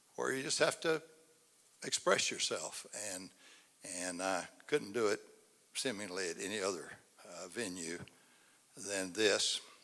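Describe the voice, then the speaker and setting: In an East Texas accent, a man with a fairly low pitch speaks at a fairly slow pace with long, frequent pauses, lively intonation and a bright, sharp tone. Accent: East Texas Southern US. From East Texas, Angelina County. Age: 80s+. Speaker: local citizen speaker at public forum. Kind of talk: public speech. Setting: civic center stage with audience. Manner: halting.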